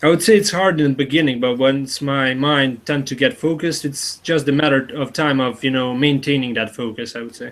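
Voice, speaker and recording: A man's fairly high-pitched voice at a fairly quick pace, with ordinary pitch variation and hardly any pauses. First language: not English (native language differs). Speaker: interviewee being personality-typed. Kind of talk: interview. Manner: halting.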